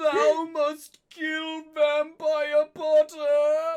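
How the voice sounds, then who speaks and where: Shouting in a high pitch, a put-on character voice delivers its lines in a flat monotone. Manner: yelling.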